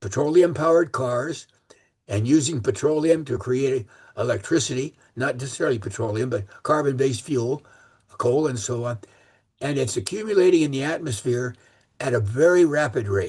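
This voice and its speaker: Ordinary pitch movement and a slightly breathy quality. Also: man, medium pitch for a man, moderate pace. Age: 80s+. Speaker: transit planning expert. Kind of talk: speech to a club meeting. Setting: meeting room with audience. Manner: halting, many fillers and repeats.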